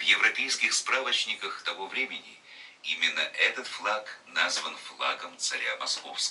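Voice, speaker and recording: Noticeable noise fills the background while a man talks very slowly. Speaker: broadcast announcer. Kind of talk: historical documentary narration. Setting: studio recording made in 2001.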